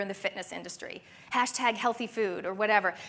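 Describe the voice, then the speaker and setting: With an animated tone, a woman talks at a fairly quick pace in a fairly high pitch. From Canada. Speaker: conference speaker. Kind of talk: conference talk. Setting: stage with audience.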